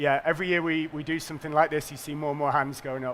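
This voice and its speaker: A man's voice comes through bright and sharp, at a fairly high pitch. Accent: northern English. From northern England. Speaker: payments company executive. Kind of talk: conference presentation.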